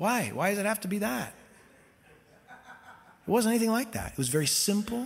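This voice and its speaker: Speaking in a Californian accent, a man with a high voice talks at a moderate pace with lively intonation and long, frequent pauses. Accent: Californian American English. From US West Coast (Costa Mesa, California). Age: 50s. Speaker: pastor. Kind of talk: sermon.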